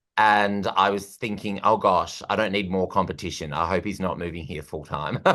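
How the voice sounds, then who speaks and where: The speaker has an Australian accent and a bright, sharp tone. Delivery is at a moderate pace with fairly even intonation against a quiet background. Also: man, very deep, low pitch for a man. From Australia, Perth. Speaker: comedian and host. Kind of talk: casual interview chat.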